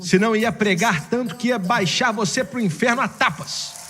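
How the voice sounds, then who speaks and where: A man performs a put-on character voice, high-pitched, hoarse and raised to project. He keeps a moderate pace with music in the background. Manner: preaching, fiery.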